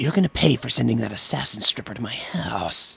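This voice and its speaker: The man speaks at a fairly quick pace. His pitch is medium. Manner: calm, soothing.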